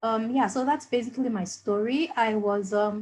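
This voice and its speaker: A woman speaks at a moderate pace with a medium pitch, ordinary pitch variation and a somewhat breathy quality. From Nigeria (Lagos). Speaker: business school alumnus. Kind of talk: panel introduction. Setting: video call. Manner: hesitant, many fillers.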